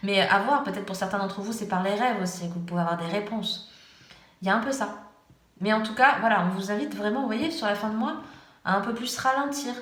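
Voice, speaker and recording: Speaking at a fairly quick pace, a woman uses a medium pitch with ordinary pitch variation and long, frequent pauses. Audible room echo and noticeable background noise are present. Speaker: tarot reader. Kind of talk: tarot reading. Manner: hesitant.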